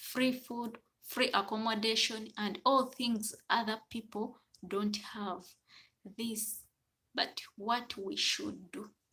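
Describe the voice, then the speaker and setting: A woman with a Ugandan accent, very slow in pace and bright, sharp in tone. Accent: Ugandan accent noted. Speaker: domestic worker and livestreamer. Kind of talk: casual live stream chat. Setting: live stream.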